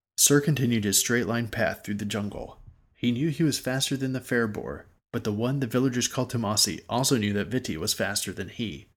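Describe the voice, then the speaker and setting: A man's medium-pitched voice in a dramatic tone, fairly quick in pace with ordinary pitch variation, on a very clean recording with a silent background. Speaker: audiobook narrator. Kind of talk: literary audiobook reading of fantasy fiction, scripted narration. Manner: steady storyteller's pace, descriptive and even-toned; briefly dramatic and vivid in action and dialogue lines.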